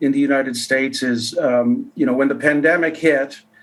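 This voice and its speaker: This man has an unremarkable speaking voice with a fairly high pitch. His intonation is lively. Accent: Canadian. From Canada. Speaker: economist. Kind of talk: interview.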